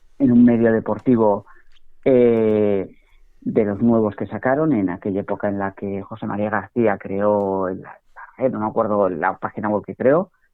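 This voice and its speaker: The delivery is a normal speaking voice with fairly even intonation. It moves at a fairly slow pace. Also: man, fairly low pitch for a man. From Spain, Basque Country (San Sebastián). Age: 40s. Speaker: financial educator and journalist. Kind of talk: podcast interview.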